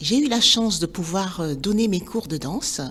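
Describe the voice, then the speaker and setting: The speech goes at a fairly slow pace with very wide pitch swings. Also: woman. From Benin. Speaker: dance teacher, former journalist. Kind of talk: personal storytelling podcast.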